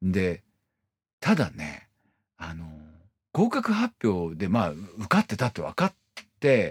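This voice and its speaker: This man talks at a very slow pace, leaving long, frequent pauses. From Iwate, Morioka. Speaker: violinist and podcast host. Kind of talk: casual solo monologue. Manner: hesitant, many fillers.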